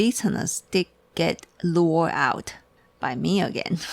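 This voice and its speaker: Over noticeable background noise, a woman with a Chinese accent speaks at a very slow pace. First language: Mandarin Chinese. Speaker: tea shop owner. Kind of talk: casual chat. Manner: halting.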